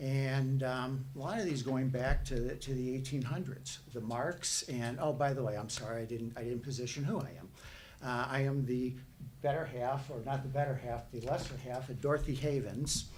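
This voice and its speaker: This man talks in a Chicago accent at a medium pitch. His pace is moderate, and the room has audible echo. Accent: Chicago-like northern US. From northern US. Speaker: resident speaking at public hearing. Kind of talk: public comment at planning meeting.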